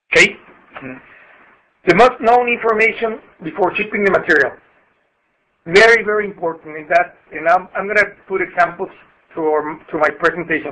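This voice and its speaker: A man with a Spanish accent raises and projects a high, bright, sharp voice with ordinary pitch variation. He leaves long, frequent pauses. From Mexico. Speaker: customs broker. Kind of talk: webinar presentation. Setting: conference call. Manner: halting.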